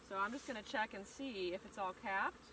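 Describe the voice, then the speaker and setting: Her pitch sits in the middle range, and this woman's intonation moves in a normal way. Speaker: beekeeper. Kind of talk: tutorial. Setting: outdoors. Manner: loud.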